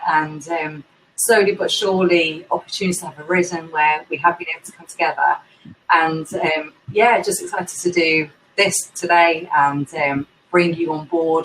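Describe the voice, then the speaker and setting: A woman with a London accent speaks at a moderate pace in a fairly low pitch, her intonation fairly even but her loudness swinging widely. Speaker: indie bookseller, event host. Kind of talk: casual interview chat.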